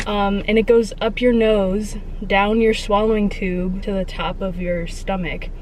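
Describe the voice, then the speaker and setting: In a room with audible echo and noticeable background noise, a woman speaks at a fairly slow pace and a medium pitch, her intonation monotone and flat. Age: 20s. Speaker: vlogger. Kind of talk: personal vlog monologue. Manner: casual, hesitant with many fillers.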